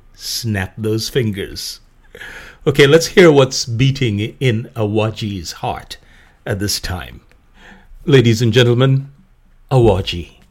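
Pausing long and often, a man speaks at a very slow pace in a medium, somewhat breathy pitch with ordinary pitch variation. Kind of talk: scripted narration. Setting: cultural center event. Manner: formal.

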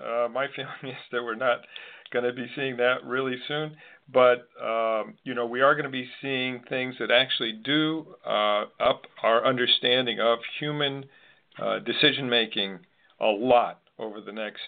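A man with an American accent and an ordinary speaking voice talks at a fairly slow pace with ordinary pitch variation. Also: medium pitch for a man. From US Northeast, Connecticut. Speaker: podcast host. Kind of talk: interview.

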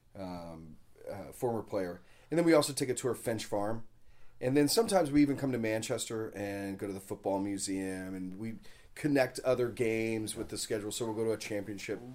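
A man with an American accent and a normal speaking voice, medium-pitched with ordinary pitch variation, at a fairly quick pace, in a very clean recording with a silent background. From Texas, Dallas. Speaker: soccer supporters group co-founder. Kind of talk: casual interview. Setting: hotel room.

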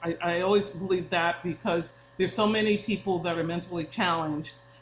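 A woman with an American accent talks at a moderate pace in a plain, everyday voice. Her pitch is medium, with ordinary variation. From New York, Long Island. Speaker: interior designer. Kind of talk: casual interview.

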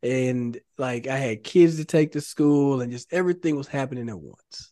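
This man's voice has a dark, mellow tone at a fairly high pitch. The background is quiet. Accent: Texan. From Texas, Dallas area (Carrollton). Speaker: former pro football player, now realtor. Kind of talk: interview. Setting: studio.

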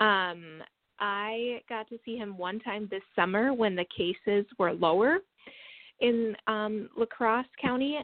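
Speaking with an American accent, a woman holds a medium pitch and ordinary pitch variation at a very slow pace. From Wisconsin. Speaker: daughter of a person with Huntington's disease. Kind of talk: podcast interview. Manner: hesitant, many fillers.

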